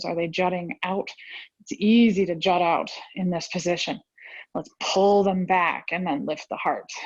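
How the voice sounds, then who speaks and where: Using a strained, put-on character voice at a medium pitch, a woman speaks at a moderate pace with fairly even intonation. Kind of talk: instructional, yoga class. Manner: strained, effortful.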